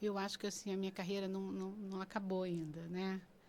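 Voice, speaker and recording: Here is a woman with a normal speaking voice, medium in pitch, with ordinary pitch variation. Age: 60s. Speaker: pastor. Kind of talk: casual chat.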